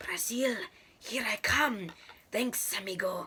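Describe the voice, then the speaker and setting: A put-on character voice, female-sounding, whispering and hissing at a fairly slow pace. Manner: cheerful.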